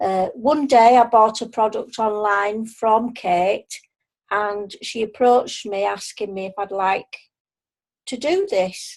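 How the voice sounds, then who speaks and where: Her pace is very slow. This woman's voice is fairly high, and its pitch varies in an ordinary way. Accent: Yorkshire. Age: 60s. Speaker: retiree, new sales team member. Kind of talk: testimony.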